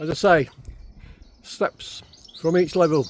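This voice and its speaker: Over noticeable background noise, the speaker talks at a fairly slow pace. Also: man. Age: 60s. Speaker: travel and walking vlogger. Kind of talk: casual vlog narration. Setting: outdoors.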